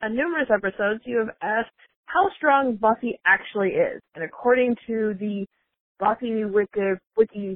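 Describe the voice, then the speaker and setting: With ordinary pitch variation, a woman talks in a plain, everyday voice. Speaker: caller. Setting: phone call.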